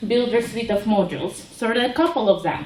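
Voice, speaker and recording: A woman with a Ukrainian accent speaks at a high pitch through noticeable background noise and audible room echo. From Ukraine. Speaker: web developer, conference speaker. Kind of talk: conference talk.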